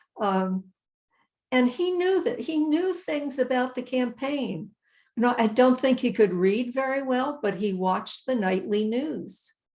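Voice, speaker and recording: A woman speaks with a high pitch and lively intonation at a fairly slow pace. The background is quiet. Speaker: state voting-rights organization president. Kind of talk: conversational interview answer, webinar. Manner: soft-spoken, thoughtful.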